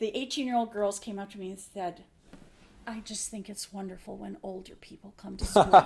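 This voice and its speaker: A woman with a plain, everyday voice speaks at medium pitch and a fairly quick pace. Her loudness swings a lot. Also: fairly even intonation. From Minnesota, US Upper Midwest. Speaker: nurse. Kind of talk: casual interview chat.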